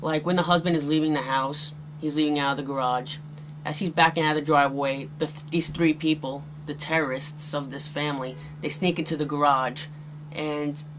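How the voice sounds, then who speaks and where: The speaker talks at a fairly quick pace in a monotone, flat intonation, with noticeable background noise. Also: man. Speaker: VHS collector reviewer. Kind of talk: casual review commentary. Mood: wry, mildly critical. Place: home room.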